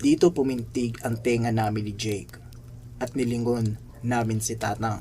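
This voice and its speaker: Somewhat breathy and dark, mellow in tone, a man speaks at medium pitch with monotone, flat intonation. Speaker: horror story narrator. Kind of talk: ghost story telling, hushed spooky narration. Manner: slow, suspenseful, ominous; dramatic, building tension.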